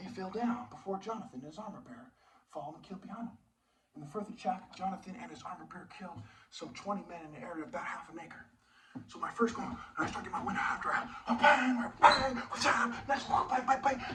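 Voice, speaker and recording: Speaking very fast, a man with a high pitch uses lively intonation and big swings in loudness. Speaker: martial arts teacher. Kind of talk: video monologue. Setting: filmed video. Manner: animated.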